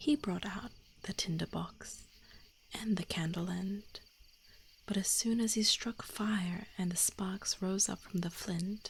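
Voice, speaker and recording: A soft-spoken voice at a very slow pace. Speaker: vtuber streamer. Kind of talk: bedtime fairy tale reading.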